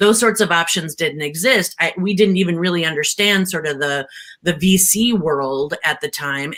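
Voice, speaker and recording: The tone is bright and sharp, and the voice comes through loud. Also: woman. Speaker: tech entrepreneur. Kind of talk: panel discussion. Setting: live-streamed panel. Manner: energetic, emphatic.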